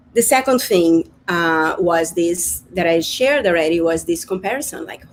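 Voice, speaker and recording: Fairly low in pitch and speaking at a fairly slow pace, a woman talks with a Brazilian Portuguese accent and ordinary pitch variation. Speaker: spiritual business coach. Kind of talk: live-streamed workshop talk. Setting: live online broadcast. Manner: halting, with repetitions.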